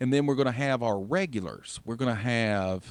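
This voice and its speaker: In a Southern US accent, a man talks at a moderate pace with ordinary pitch variation. The recording is very clean, with a silent background. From US South. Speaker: radio host. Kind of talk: radio show hosting.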